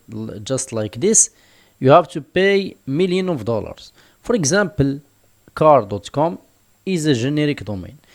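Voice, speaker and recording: A man with a non-native accent, a fairly high pitch and very wide pitch swings. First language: not English (English is his third language). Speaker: online business tutor. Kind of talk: tutorial. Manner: hesitant, many fillers.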